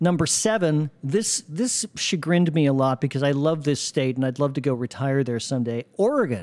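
This man has an unremarkable speaking voice, fairly high in pitch, with lively intonation, a moderate pace and very even loudness. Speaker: podcast host. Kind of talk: casual chat.

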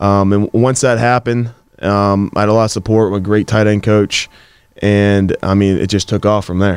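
Speaking in a plain, everyday voice, a man with a fairly low pitch keeps a moderate pace and fairly even intonation in a dry, close sound with no echo. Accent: American. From Pittsburgh area, Pennsylvania. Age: 20s. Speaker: professional football player. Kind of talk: interview.

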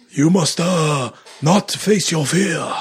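A raspy, put-on character voice. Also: man, high pitch for a man. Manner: wise, sage-like.

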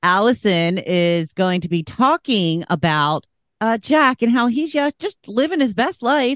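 Fairly high in pitch, a woman's voice swings very widely as she talks at a fairly slow pace. The sound is dry and close with no echo, over a quiet background. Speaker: podcast moderator. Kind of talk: casual chat.

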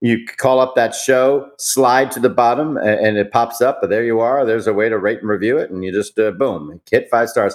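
Here a man has an unremarkable speaking voice at a medium pitch, with ordinary pitch variation. He keeps a fairly quick pace. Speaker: entertainment journalist, podcast co-host. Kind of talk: casual banter, entertainment news podcast.

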